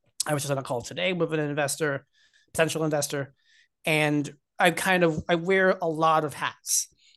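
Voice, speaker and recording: A man with an American accent speaks in a plain, everyday voice, fairly high in pitch. His intonation is fairly even, his pace moderate, and the background quiet. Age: 20s. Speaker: tech company executive. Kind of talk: casual interview. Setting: remote call.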